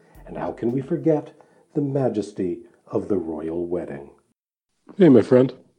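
Music plays in the background as a man talks at a moderate pace. His medium pitch swings very widely. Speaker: podcast host. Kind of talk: scripted intro.

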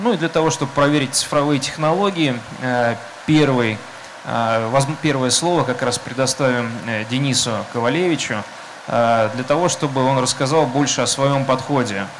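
Over noticeable background noise and audible room echo, a man with a fairly high voice talks at a moderate pace, keeping his loudness very even, his pitch varying in an ordinary way and his pauses long and frequent. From Russia, Saint Petersburg. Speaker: panel moderator. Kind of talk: panel discussion. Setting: stage under a tent with audience, rain.

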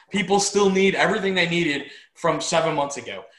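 Bright, sharp tone comes through as a man speaks with audible room echo. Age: 40s. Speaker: business owner and co-host. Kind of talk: casual chat.

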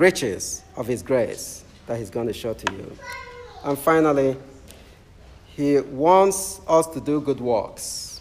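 A man with a fairly high pitch speaks at a fairly slow pace with lively intonation and a warm tone. He leaves long, frequent pauses, and noticeable background noise is present. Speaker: Anglican preacher. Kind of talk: sermon. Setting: church. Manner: warm, humorous.

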